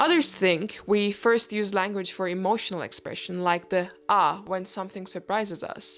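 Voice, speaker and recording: Speaking with a non-native accent, a woman keeps a medium pitch and fairly even intonation. She goes at a moderate pace with hardly any pauses. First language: not English. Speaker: educational youtuber. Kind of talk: reading a script with asides. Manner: halting.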